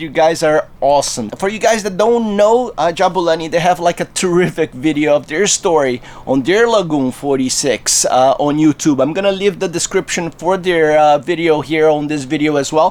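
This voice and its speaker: Over noticeable background noise, a man with a fairly high pitch talks at a moderate pace with ordinary pitch variation and hardly any pauses. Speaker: liveaboard sailor. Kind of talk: casual vlog talk to camera.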